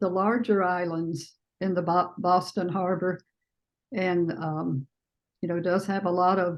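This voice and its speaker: Speaking with a Southern US accent, a woman uses a fairly low pitch and fairly even intonation, leaving long, frequent pauses. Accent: Southern US accent, still present. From US South, Alabama. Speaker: artist. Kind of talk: panel Q&A discussion. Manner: halting, many fillers.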